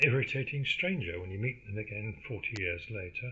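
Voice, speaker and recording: The speech moves at a fairly quick pace with a lively intonation. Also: man. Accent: English. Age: 70s. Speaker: podcaster. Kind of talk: casual monologue. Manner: halting, many fillers.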